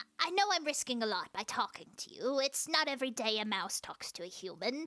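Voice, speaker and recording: A woman puts on a character voice, high in pitch with very wide swings. She speaks at a fairly slow pace. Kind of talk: audio roleplay. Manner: silly, comedic.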